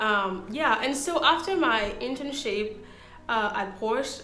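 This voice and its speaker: With a non-native accent, the speaker uses lively intonation in a recording with audible room echo. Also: woman. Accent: foreign. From Ivory Coast. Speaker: interviewee sharing career story. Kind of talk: casual interview. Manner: hesitant with fillers.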